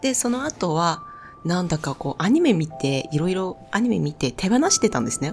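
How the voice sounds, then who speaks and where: With a non-native accent, a woman talks at a moderate pace in a fairly low pitch, her pitch swinging very widely. Noticeable background noise runs underneath. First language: not Japanese (speaking Japanese). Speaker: spiritual youtuber. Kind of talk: personal storytelling monologue.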